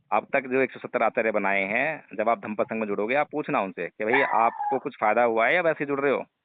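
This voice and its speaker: Using an ordinary speaking voice, a man of medium pitch talks with ordinary pitch variation and hardly any pauses. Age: 40s. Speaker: Buddhist teacher. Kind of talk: phone conversation.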